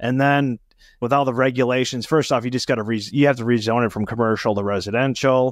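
A man speaks at a fairly quick pace in a medium pitch, with fairly even intonation, a dry sound with no echo and a quiet background. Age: 40s. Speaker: podcast host. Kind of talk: interview. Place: home room. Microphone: studio mic.

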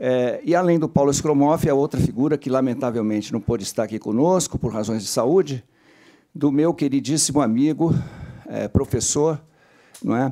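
The man's tone is dark and mellow, set at a fairly high pitch with ordinary variation. He talks at a moderate pace against a quiet background. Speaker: professor. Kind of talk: panel talk. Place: meeting room. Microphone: podium.

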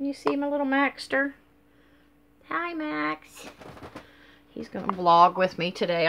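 A woman speaks with very wide swings in pitch over light background noise. She leaves long pauses, and often. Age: 50s. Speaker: vlogger. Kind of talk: casual vlog monologue. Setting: at home, filming on a selfie stick. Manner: rambling, hesitant with many fillers. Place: home room. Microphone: webcam.

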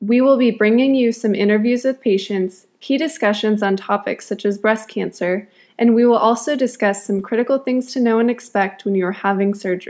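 In an ordinary speaking voice with an American accent, a woman talks fairly quickly at a fairly high pitch with fairly even intonation, very even loudness and hardly any pauses, on a very clean recording with a silent background. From Wisconsin. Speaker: medical student. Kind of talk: scripted narration.

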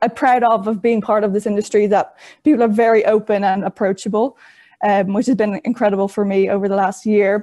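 With a Dublin accent, a woman speaks in a dark, mellow tone at a fairly quick pace. Her loudness stays very even over a quiet background. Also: fairly even intonation. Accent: Irish (Dublin). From Ireland, Dublin. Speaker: trainee in horse racing leadership program; panelist. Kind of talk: webinar presentation. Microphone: video call.

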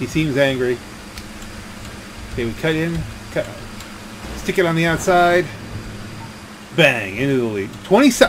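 Over music in the background, a man speaks with a fairly high pitch and lively intonation. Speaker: gaming commentator. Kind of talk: casual let's play commentary.

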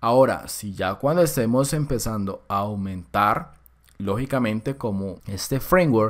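On a very clean recording with a silent background, a man speaks at a very slow pace with lively intonation. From Colombia. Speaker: programming course instructor. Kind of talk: tutorial. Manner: casual.

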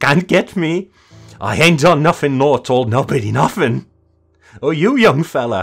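With music in the background, a man puts on a shrill character voice at a fairly high pitch, moving at a moderate pace with long, frequent pauses. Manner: shrill, frenzied, screaming.

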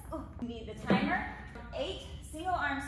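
A woman talks at a fairly quick pace with audible room echo and music playing in the background. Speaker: fitness instructor. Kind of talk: workout tutorial. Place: gym. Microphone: camera far.

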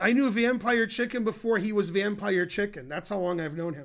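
Against a quiet background, a man with a high voice projects in a bright, sharp tone with lively intonation at a moderate pace. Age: 50s. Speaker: chess grandmaster streamer. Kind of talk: live stream chess commentary. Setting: live stream. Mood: dry, joking. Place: home room.

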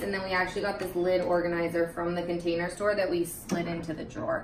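A woman talks at a fairly quick pace with fairly even intonation over noticeable background noise. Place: kitchen.

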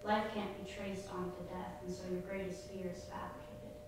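The recording has noticeable background noise and strong room echo. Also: woman. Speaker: poet. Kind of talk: poem performed, monologue-style reading aloud. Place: hall.

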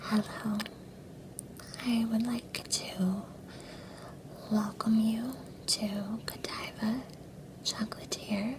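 A woman whispers very slowly, with long, frequent pauses between her words. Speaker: role-play chocolatier shop clerk. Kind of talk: ASMR whisper roleplay, chocolate shop tasting. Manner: whispered, soft-spoken.

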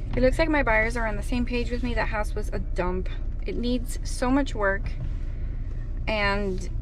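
A woman speaks at a fairly slow pace, with a dry sound and no echo, amid noticeable background noise. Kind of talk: casual vlog chat. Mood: frank, mildly disapproving. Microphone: phone near.

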